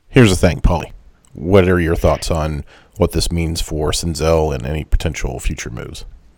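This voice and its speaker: A man with an American accent speaks in a very deep, low voice with ordinary pitch variation. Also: moderate pace. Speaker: podcast host. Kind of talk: casual chat.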